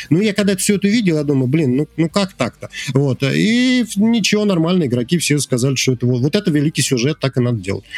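Music plays in the background as a man with a fairly high pitch talks at a very fast pace, his pitch swinging very widely while his loudness stays very even. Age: 40s. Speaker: indie game developer. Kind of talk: casual chat.

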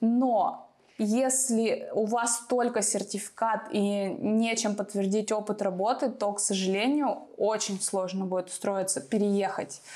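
Speaking very slowly, the woman keeps her intonation fairly even. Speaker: YouTuber giving relocation advice. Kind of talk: Q&A advice video.

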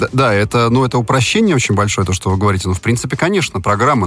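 Noticeable background noise sits under a man's voice, whose pitch shifts in an ordinary way. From Moscow, Russia. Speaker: architect. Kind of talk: radio interview.

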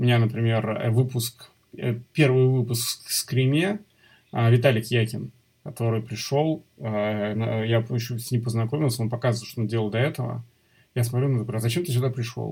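Somewhat breathy, a man speaks at a moderate pace and medium pitch with fairly even intonation and long, frequent pauses, in a very clean recording with a silent background. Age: 40s. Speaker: motion designer and design teacher. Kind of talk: interview.

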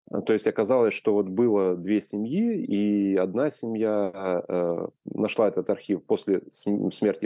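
A man with a fairly low pitch and a dark, mellow tone speaks with ordinary pitch variation, the sound dry and close with no echo over a quiet background. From Ukraine. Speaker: photographer, collector and publisher. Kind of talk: interview conversation.

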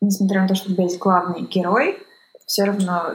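A woman's somewhat breathy voice at medium pitch, in a flat monotone. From northwestern Russia, Kirovsk near St Petersburg. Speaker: documentary film director. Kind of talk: interview conversation.

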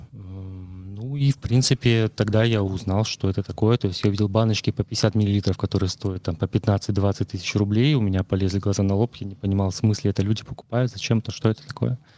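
A dark, mellow voice moves at a fairly quick pace with hardly any pauses and fairly even intonation, in a very clean, dry, close recording with a silent background and no echo. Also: man, fairly low pitch for a man. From Russia, Murmansk. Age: 30s. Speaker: detailing products consultant. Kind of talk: casual interview. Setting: studio.

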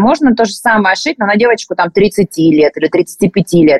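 A woman with an unremarkable speaking voice has a medium pitch and lively intonation. She keeps a moderate pace. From Rostov region, southern Russia. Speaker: clothing brand co-founder. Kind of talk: interview.

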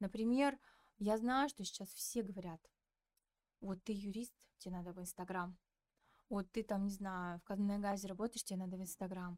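A woman's medium-pitched voice at a moderate pace, fairly even in intonation, in a dry, close sound with no echo. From Kazakhstan, Petropavlovsk. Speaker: communications specialist and podcast producer. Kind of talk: casual interview chat.

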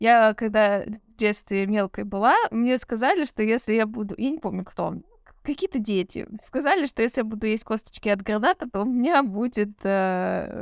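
Recorded dry and close with no echo, a woman speaks at a moderate pace in a fairly high pitch with ordinary pitch variation. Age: 30s. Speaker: podcast co-host. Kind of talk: casual chat. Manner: animated.

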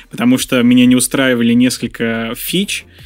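A man's fairly even intonation over music in the background. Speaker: podcast host. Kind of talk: interview.

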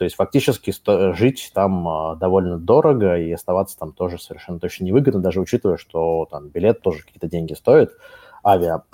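The tone is dark and mellow, with ordinary pitch variation and a fairly quick pace. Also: man, very deep, low pitch for a man, dry, close sound with no echo. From Russia. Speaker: company CEO. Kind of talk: casual chat.

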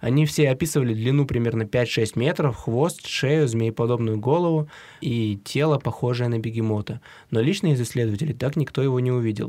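A man's dark, mellow tone at a fairly quick pace, on a very clean recording with a silent background. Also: medium pitch for a man, ordinary pitch variation. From Siberia. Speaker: podcast co-host. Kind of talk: casual chat.

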